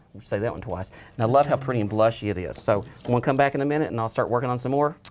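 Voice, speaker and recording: This man has an Appalachian accent and a medium pitch. He talks very fast with ordinary pitch variation. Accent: Appalachian twang. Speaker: florist. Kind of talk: casual chat. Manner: animated.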